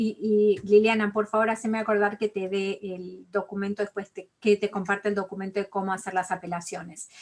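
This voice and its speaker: A woman with an Argentine accent speaks at a moderate pace and medium pitch with monotone, flat intonation. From Argentina. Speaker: college financial aid advisor. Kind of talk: online interview.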